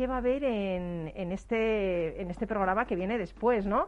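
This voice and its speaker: With lively intonation and a moderate pace, a woman talks against a quiet background. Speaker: radio host. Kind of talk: casual chat. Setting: studio. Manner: animated.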